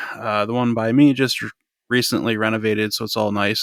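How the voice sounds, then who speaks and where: A man speaks at a moderate pace and medium pitch in a monotone, flat way with a bright, sharp tone, in a very clean, dry, close recording with a silent background and no echo. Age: 30s. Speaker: podcast co-host. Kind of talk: casual chat. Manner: hesitant, many fillers.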